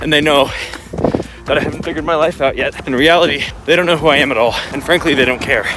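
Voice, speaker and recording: Over music in the background, a man talks very fast at a fairly high pitch with fairly even intonation. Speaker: running vlogger. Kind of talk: casual vlog monologue while running. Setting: outdoors, running on road with handheld camera.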